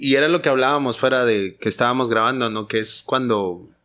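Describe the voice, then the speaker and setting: A man with a plain, everyday voice speaks at a medium pitch and moderate pace, with ordinary pitch variation. The recording is very clean, with a silent background. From Guatemala, Petén. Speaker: podcast host. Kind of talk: interview conversation. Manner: casual.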